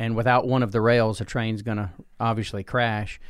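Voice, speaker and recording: Here a man talks at a fairly quick pace with a Southern US accent. The recording is very clean, with a silent background. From US Deep South (Alabama, Georgia). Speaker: pastor. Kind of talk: casual interview.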